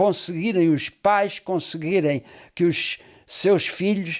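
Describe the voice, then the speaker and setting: In a very clean recording with a silent background, a man talks at a very slow pace in a high pitch. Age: 80s+. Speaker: pastor. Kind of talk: casual chat. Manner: halting.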